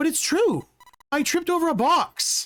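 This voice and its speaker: A female-sounding voice puts on a squeaky character voice at an extremely high pitch. It moves at a moderate pace. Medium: game stream. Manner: soft, hesitant.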